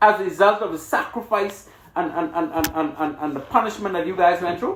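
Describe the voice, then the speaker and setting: Music plays in the background as a man speaks with a Bahamian accent at a moderate pace. His tone is passionate, with very wide pitch swings. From Bahamas. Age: 60s. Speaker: radio host. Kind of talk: radio interview.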